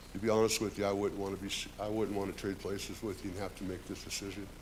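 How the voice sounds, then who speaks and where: Room echo can be heard clearly. The man speaks at a very fast pace. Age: 60s. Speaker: union carpenter, public commenter. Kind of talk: public comment at council meeting. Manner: unpolished, halting.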